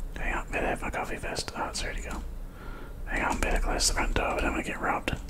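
Whispering at a very fast pace, the speaker rushes through the words. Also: man. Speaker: gamer. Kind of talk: ASMR gaming commentary. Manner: whispered. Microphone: studio mic.

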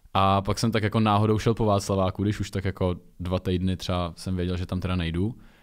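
Speaking at a very fast pace in a monotone, flat delivery, a man with a very deep, low voice is heard in a very clean recording with a silent background. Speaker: reality show contestant and model. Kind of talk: casual chat. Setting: studio.

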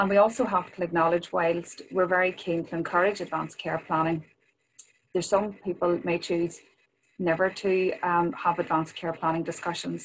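Over light background noise, a woman with a fairly low pitch speaks at a moderate pace in a monotone, flat intonation. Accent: Northern Irish. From Northern Ireland. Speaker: health department policy official. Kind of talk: webinar presentation. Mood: calm, caring. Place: home room. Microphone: webcam.

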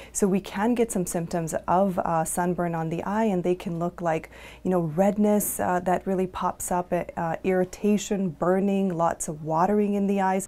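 A woman speaks at a moderate pace in a dark, mellow tone with monotone, flat intonation. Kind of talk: interview answer. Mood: calm, informative. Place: office.

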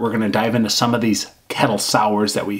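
The pace is fairly quick. It is a man talking. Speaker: beer reviewer. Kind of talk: casual vlog chat. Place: home room.

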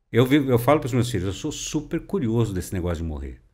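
The voice has vocal fry and very wide pitch swings at a very fast pace. The background is quiet. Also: man. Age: 60s. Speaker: overland traveler; podcast guest. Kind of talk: interview. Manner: conversational, filler-heavy. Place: studio. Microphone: studio mic.

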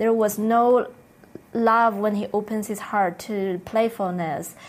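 At a fairly slow pace, a woman speaks in a plain, everyday voice, her pitch fairly high and her intonation fairly even. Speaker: spiritual teacher co-leading a retreat. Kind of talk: spiritual teaching session.

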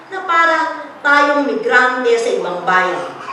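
Background noise is noticeable. The woman's delivery is fairly slow. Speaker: poet. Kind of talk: poetry reading, tribute poem read aloud to an audience. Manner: measured, solemn, heartfelt delivery with a warm, rhythmic cadence.

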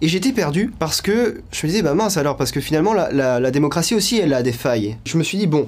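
Very wide pitch swings mark this man's speech. He talks at a very fast pace with hardly any pauses. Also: fairly high pitch for a man. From western France (La Rochelle); France. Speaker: political activist; interviewee. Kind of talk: interview testimony. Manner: hesitant, frequent fillers. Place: home room.

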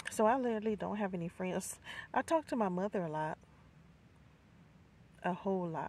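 The woman's tone is slightly mellow. She keeps a moderate pace. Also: medium pitch for a woman, lively intonation.

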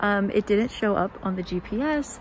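With lively intonation, a woman speaks at a medium pitch. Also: moderate pace.

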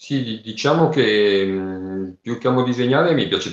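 A man speaks very slowly in a room with audible echo and a quiet background. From Lombardy. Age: 40s. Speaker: crossdresser and story writer; interview guest. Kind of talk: casual interview. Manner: halting. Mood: relaxed, friendly. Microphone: video call.

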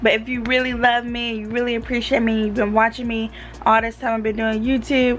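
At a fairly quick pace, a woman talks with little pitch movement over clear background noise. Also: fairly high pitch for a woman.

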